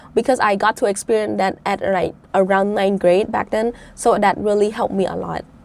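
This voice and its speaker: A woman speaks in a Cambodian accent at a medium pitch. Her pace is moderate and her intonation fairly even. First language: Khmer. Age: 20s. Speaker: debate champion, budget analyst. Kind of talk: interview.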